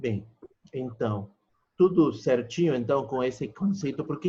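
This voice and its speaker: Lively intonation marks this man's dark, mellow tone. He speaks somewhat breathily at a fairly slow pace. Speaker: pharmacology lecturer. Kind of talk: online lecture. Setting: video call class.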